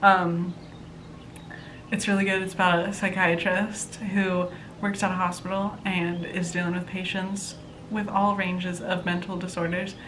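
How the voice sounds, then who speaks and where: A woman speaks at a medium pitch and a moderate pace in a monotone, flat intonation. Audible room echo surrounds her voice. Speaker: book vlogger. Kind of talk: casual chat.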